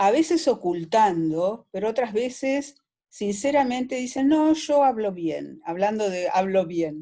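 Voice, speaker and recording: With a fairly high pitch that swings very widely, a woman speaks at a fairly slow pace in a dark, mellow tone. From Argentina, Buenos Aires. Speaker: audience member. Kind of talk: question to guest.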